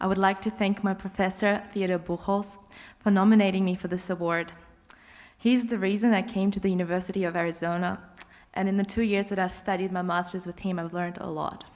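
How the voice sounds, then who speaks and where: With an Australian accent, a woman talks at a fairly quick pace and a medium pitch. Her intonation is flat and monotone. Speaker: graduate student, cellist. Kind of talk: graduation speech.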